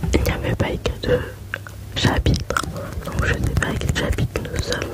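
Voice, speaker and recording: Whispering at a moderate pace comes through over noticeable background noise. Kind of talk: ASMR whispered book reading. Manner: whispered.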